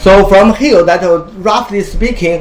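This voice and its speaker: A man with a Chinese accent at a moderate pace with ordinary pitch variation, over noticeable background noise. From China. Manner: halting.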